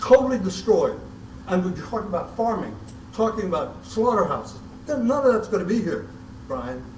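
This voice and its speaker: With a high pitch and ordinary pitch variation, a man speaks at a fairly quick pace. Noticeable background noise and audible room echo come through. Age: 80s+. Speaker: concerned citizen at public meeting. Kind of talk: public comment. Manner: emotional; halting, repeats words.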